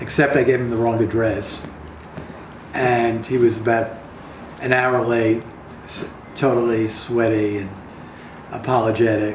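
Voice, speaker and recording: A man talks fairly slowly at a medium pitch in a flat monotone, leaving long, frequent pauses, with noticeable background noise and audible room echo. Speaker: playwright. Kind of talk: casual interview.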